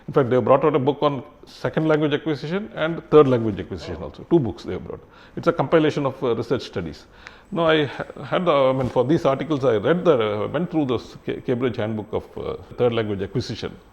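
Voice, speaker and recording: Delivered at a very fast pace with lively intonation, the speech carries a Kannada accent. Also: man, medium pitch for a man. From Karnataka, India. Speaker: retired civil servant. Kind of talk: interview. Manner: halting, many fillers and restarts.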